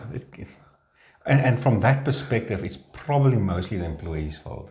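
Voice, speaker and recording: A man with a South African accent speaks at a moderate pace in a somewhat breathy voice, his pitch swinging very widely, with audible room echo. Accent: Afrikaans South African English. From South Africa, Afrikaans-speaking. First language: Afrikaans. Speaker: labour law practitioner. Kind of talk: casual discussion.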